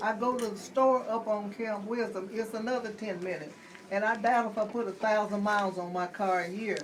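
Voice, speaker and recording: Over noticeable background noise and audible room echo, a woman speaks at a fairly high pitch with fairly even intonation. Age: 70s. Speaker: resident asking a question. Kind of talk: community meeting question.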